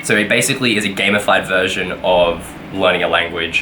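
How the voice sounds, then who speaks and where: Speaking with an Australian accent, a man with a very deep, low pitch talks at a fairly slow pace, with audible room echo and noticeable background noise. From Australia (Brisbane). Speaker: vlogger, game developer. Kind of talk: casual vlog. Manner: casual, many fillers.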